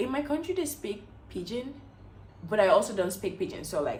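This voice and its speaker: A woman's voice carries audible room echo. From Equatorial Guinea. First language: Spanish. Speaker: beauty vlogger. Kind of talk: casual chat. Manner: animated.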